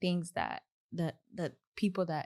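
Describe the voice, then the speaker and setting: The speaker is soft-spoken, in a Kenyan accent. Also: woman. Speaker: software engineer. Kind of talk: podcast interview.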